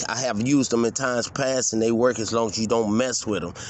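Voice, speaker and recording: A man's medium-pitched voice is heard against noticeable background noise. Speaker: vlogger. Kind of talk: casual vlog rant. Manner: fast; halting.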